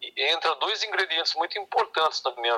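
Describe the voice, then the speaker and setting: Dry, close sound with no echo, and a man talking at a moderate pace. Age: 60s. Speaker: clarinetist and saxophonist. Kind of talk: interview.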